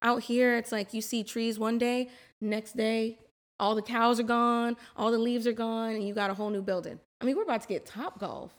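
A woman speaks fairly quickly at a fairly high pitch with fairly even intonation, in a very clean recording with a silent background. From Florida (West Palm Beach). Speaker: marketing and public relations professional. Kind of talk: casual chat.

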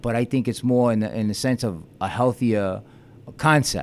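With an American accent, a man speaks at medium pitch and a moderate pace in a plain, everyday voice. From Long Beach, New York. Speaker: juice bar co-owner. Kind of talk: casual interview chat.

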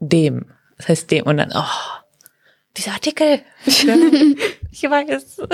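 Vocal fry marks this woman's speech, which swings very widely in pitch. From Ruhr area, Germany (Mülheim). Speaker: trainee teacher. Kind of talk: casual interview.

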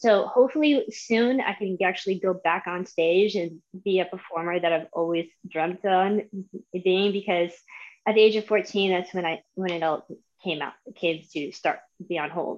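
This woman has a plain, everyday voice and an American accent, at a medium pitch. She talks at a moderate pace with ordinary pitch variation. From Florida. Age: 30s. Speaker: massage therapist. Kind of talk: casual interview. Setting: live video stream.

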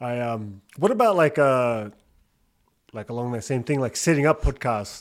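In a very clean recording with a silent background, a man with a New Zealand accent talks at a fairly quick pace, his medium-pitched voice showing ordinary pitch variation. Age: 30s. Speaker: podcast host. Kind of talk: casual chat. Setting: studio.

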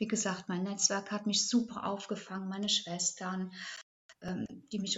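A woman's medium-pitched voice at a fairly slow pace, monotone with flat intonation. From Ahrtal, Rhineland-Palatinate, Germany. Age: 60s. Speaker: kindergarten teacher. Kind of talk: interview. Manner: halting.

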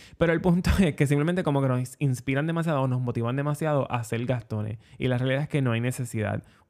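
A man talks at a very fast pace in a Puerto Rican accent. His pitch is medium, with ordinary pitch variation. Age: 20s. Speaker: podcast host. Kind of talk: solo monologue podcast.

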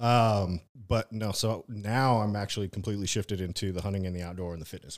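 Talking at a very fast pace with big swings in loudness, a man with a fairly low pitch keeps a fairly even intonation on a very clean recording with a silent background. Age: 30s. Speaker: hunter and outdoor content creator. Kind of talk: casual chat. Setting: studio.

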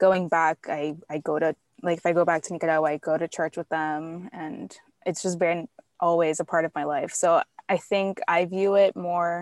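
A woman with a Miami accent talks at a moderate pace in a fairly low pitch, her intonation monotone and flat. The sound is dry and close with no echo, over a quiet background. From Miami, Florida. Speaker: friend of the host. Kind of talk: casual chat.

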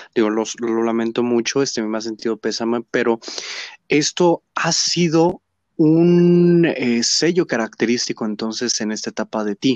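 Lively intonation from a man at a medium pitch. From Mexico, Hidalgo. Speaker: podcast host. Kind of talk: interview conversation. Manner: halting.

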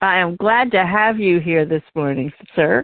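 Using a plain, everyday voice, a woman talks at a moderate pace with a fairly low pitch and lively intonation. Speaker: radio host. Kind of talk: radio interview.

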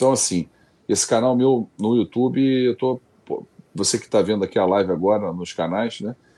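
A man's dark, mellow voice sits at a medium pitch with ordinary pitch variation. He speaks at a moderate pace in a dry, close sound with no echo. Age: 50s. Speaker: football fan YouTuber. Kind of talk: live stream interview.

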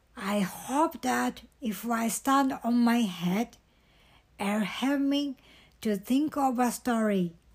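Very slowly, a female-sounding voice performs a put-on character voice at a fairly high pitch. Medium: read story. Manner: earnest.

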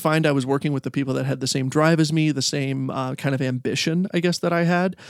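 This man with a Canadian accent has a plain, everyday voice and keeps his intonation fairly even. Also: hardly any pauses. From Canada, Ontario. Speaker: museum worker and musician. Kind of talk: casual chat.

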